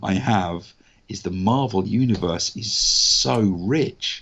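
Speaking at a very slow pace, a man with a southern English accent has a fairly low pitch and ordinary pitch variation. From southern England. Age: 40s. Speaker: actor and voice artist. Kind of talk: casual interview. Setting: remote call.

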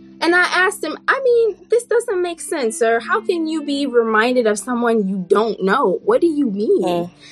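Amid noticeable background noise, a woman with a high pitch speaks at a moderate pace with very wide pitch swings and hardly any pauses. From Burkina Faso. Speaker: public health scientist and podcaster. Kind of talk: casual interview chat. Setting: video call.

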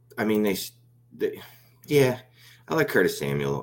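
Vocal fry runs through a man's speech, delivered with an American accent. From Philadelphia, US. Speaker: fantasy football analyst. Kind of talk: casual chat.

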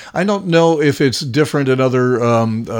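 A man with an ordinary speaking voice talks at a moderate pace, his intonation lively. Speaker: radio host. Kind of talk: interview.

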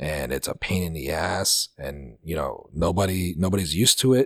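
Recorded with a dry, close sound and no echo, a man with a very deep, low pitch and vocal fry speaks at a fairly slow pace with lively intonation. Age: 30s. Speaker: podcast host. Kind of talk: casual chat. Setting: remote call.

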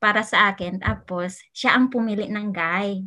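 With a quiet background behind her, a woman with a fairly high pitch and a bright, sharp tone speaks at a fairly slow pace. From Philippines, Cagayan de Oro. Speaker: podcast guest. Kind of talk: casual chat.

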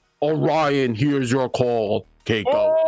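Putting on a booming character voice, a man speaks at a medium pitch and a fairly slow pace.

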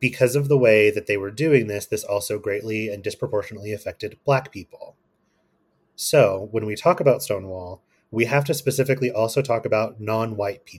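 A man with an American accent speaks at a medium pitch with ordinary pitch variation and a somewhat breathy quality on a very clean recording with a silent background. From Kentucky, US. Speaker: guest, astrology and queer topics. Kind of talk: casual interview chat.

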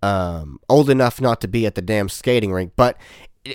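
Over a very clean recording with a silent background, a man talks at a moderate pace. He has a plain, everyday voice with lively intonation. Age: 20s. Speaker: musician and podcast host. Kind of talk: casual chat.

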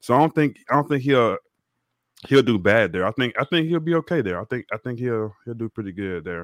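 Speaking at a fairly quick pace, a man with a plain, everyday voice keeps a medium pitch and lively intonation. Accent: American. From Texas (Beaumont). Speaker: podcast panelist. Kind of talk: casual sports chat.

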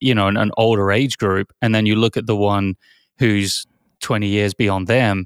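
At a moderate pace, a man talks in a fairly low pitch with monotone, flat intonation, the sound dry and close with no echo on a very clean recording with a silent background. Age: 40s. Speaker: podcast co-host. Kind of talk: casual chat.

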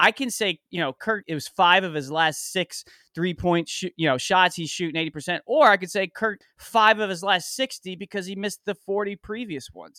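In a very clean recording with a silent background, a man raises and projects his high-pitched, bright, sharp voice at a fairly quick pace. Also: dry, close sound with no echo. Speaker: podcaster filling in as co-host. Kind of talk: casual chat.

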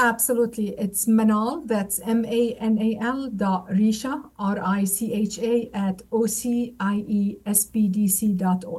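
Against noticeable background noise, a woman speaks fairly slowly at a fairly high pitch with fairly even intonation. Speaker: trade center director. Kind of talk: interview.

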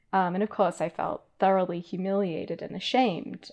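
A woman's medium-pitched voice with vocal fry, ordinary pitch variation and a fairly quick pace. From Australia. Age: 30s. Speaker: philosophy professor and author. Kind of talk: interview conversation.

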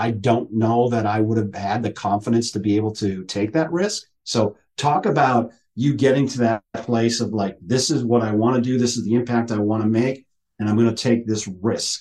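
At a moderate pace, a man talks in a normal speaking voice of medium pitch with fairly even intonation. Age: 50s. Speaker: retired school superintendent, executive coach. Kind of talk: casual interview conversation.

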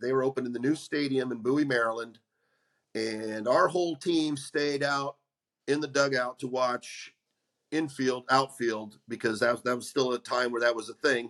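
A man speaks at a fairly slow pace in a normal speaking voice. His pitch is medium, with fairly even intonation. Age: 50s. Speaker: former baseball pitcher, podcast co-host. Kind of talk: casual chat.

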